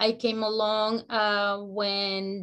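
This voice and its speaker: In a Spanish accent, a woman speaks at a mid-range pitch with flat, monotone intonation. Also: very clean recording, silent background. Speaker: educator and immigrant advocate. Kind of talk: community meeting remarks. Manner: halting, many fillers.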